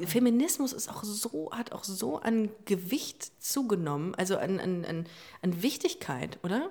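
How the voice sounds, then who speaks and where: A woman speaks at a fairly slow pace in a medium pitch, her tone dark and mellow. Her voice is somewhat breathy, with very wide pitch swings. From Hamburg, northern Germany. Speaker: LGBT podcast host. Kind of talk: casual chat.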